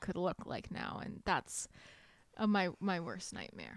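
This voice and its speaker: Speaking at a moderate pace, a woman keeps her medium-pitched voice in a flat monotone. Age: 20s. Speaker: book podcast co-host. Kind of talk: casual chat.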